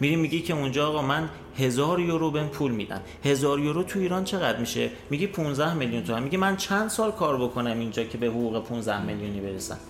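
Talking at a very fast pace with lively intonation, a man with a fairly high pitch is heard amid noticeable background noise and audible room echo. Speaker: would-be migrant sharing experience. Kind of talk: casual storytelling.

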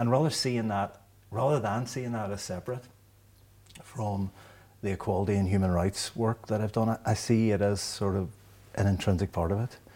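A man speaks at a moderate pace with a fairly low pitch. His talk has long, frequent pauses. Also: ordinary pitch variation. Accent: Derry. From Northern Ireland, Derry. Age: 50s. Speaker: law professor. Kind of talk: interview. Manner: halting, frequent repetitions.

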